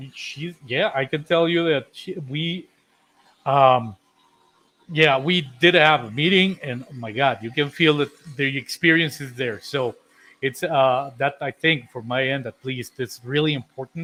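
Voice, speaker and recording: A man with a normal speaking voice talks at a fairly slow pace, fairly high in pitch with ordinary pitch variation. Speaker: co-host of a contractor insurance live show. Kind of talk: casual live-stream chat.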